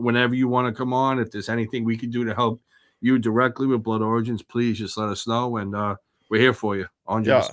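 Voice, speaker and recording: A man with a strong New Jersey accent talks at a very fast pace in a monotone, flat voice. The recording is very clean, with a silent background. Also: medium pitch for a man. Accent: thick East Jersey. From East Jersey. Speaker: podcast host.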